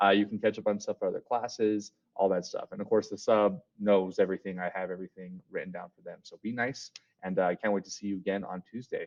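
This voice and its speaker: This man talks at a very fast pace. His pitch is fairly low. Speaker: school teacher. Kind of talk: recorded class lesson. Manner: casual, filler words.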